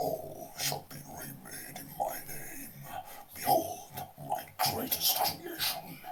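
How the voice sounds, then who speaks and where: Against light background noise, a man in a put-on character voice moves at a very slow pace, leaving long, frequent pauses. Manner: grandiose, ominous.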